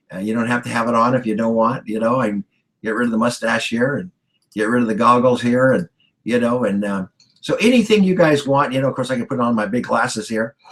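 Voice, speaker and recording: Here a man talks at a fairly quick pace. His pitch is medium, with ordinary pitch variation. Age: 60s. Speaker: business coach. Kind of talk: tutorial. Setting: video call. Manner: animated.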